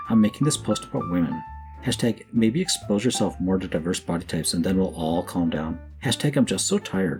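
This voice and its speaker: Music plays in the background as a man talks at a fairly quick pace. His very deep, low voice has lively intonation. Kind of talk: commentary reading social media posts.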